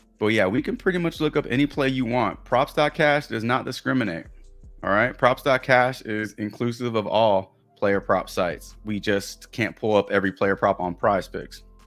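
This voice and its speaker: With music in the background, a man with a Texas accent and medium pitch speaks at a moderate pace with ordinary pitch variation. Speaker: sports betting streamer. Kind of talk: live stream chat. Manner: casual, conversational.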